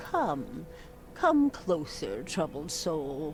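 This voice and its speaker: Someone in a put-on character voice speaks at a middle pitch against clear background noise. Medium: game stream. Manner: cryptic, slow, knowing.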